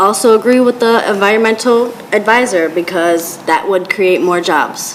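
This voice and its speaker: Noticeable background noise accompanies speech delivered at a fairly slow pace with ordinary pitch variation. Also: woman. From Dunkirk, western New York. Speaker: city council candidate. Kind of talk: candidate forum answers.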